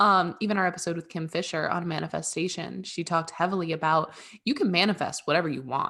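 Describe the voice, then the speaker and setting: Her pitch fairly low, a woman talks at a very fast pace. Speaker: podcast co-host. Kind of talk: casual chat. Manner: animated.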